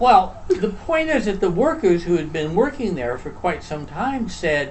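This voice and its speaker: Audible room echo surrounds a man whose high-pitched voice moves in very wide pitch swings. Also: fairly slow pace. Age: 70s. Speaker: retired social worker, show co-host. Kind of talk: casual chat.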